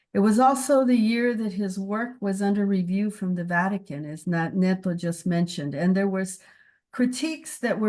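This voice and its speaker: A somewhat breathy voice in an American accent, moderate pace, ordinary pitch variation, quiet background. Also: woman. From US-Mexico border, El Paso, Texas. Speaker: theology professor. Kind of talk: memorial talk to colleagues. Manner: halting, with fillers and repeats.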